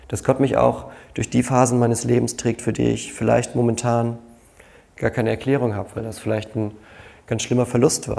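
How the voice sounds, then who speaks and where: A man's medium-pitched voice, dark and mellow, at a moderate pace, with monotone, flat intonation and vocal fry. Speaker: pastor. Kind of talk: sermon.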